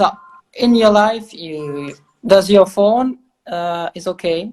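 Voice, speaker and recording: Spoken very slowly with a slight French accent, the voice shows ordinary pitch variation and big swings in loudness. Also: woman, medium pitch for a woman. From Belgium. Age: 20s. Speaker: interviewer, online show host. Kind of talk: interview.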